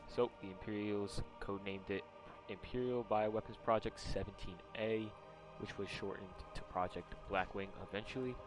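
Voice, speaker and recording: Over music in the background, a man talks at a moderate pace with fairly low pitch. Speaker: video game lore YouTuber. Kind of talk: casual lore explainer talk. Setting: gaming headset microphone. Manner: some stutters.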